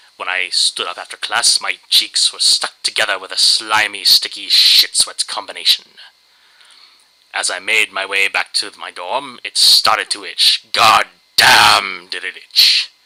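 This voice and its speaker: This man talks at a fairly slow pace, his loudness swinging widely. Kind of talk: dramatic reading of a humorous internet story. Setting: low-quality home microphone.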